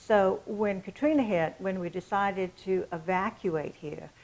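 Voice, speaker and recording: A woman with an American accent, medium pitch and ordinary pitch variation. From England. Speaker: estate sale business owner. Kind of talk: casual interview.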